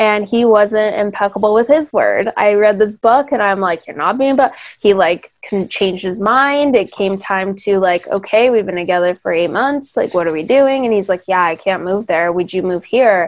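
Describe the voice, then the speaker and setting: Spoken with a Californian accent, the delivery moves at a moderate pace with hardly any pauses. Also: woman, medium pitch for a woman, ordinary pitch variation. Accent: Californian American. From Hemet, California. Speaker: podcast host and former photographer. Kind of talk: casual interview chat.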